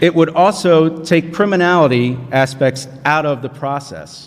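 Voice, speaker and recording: There is noticeable background noise as a man speaks with an American accent at a fairly slow pace. His pitch is fairly high, with ordinary variation. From southern New Jersey. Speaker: panelist, independent congressional candidate. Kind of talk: panel forum speech.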